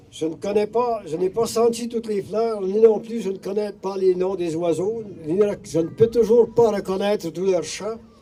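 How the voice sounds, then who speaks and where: Against noticeable background noise, a man speaks fairly slowly in a high voice with fairly even intonation. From Abitibi-Témiscamingue, Quebec. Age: 80s+. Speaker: community speaker. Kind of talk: reading aloud.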